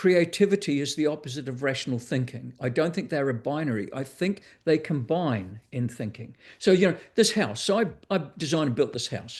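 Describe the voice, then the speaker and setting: With a New Zealand accent, a man speaks at a fairly quick pace and fairly high pitch, somewhat breathy, with lively intonation against a quiet background. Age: 60s. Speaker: author and educator. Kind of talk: interview. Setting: video call. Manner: halting.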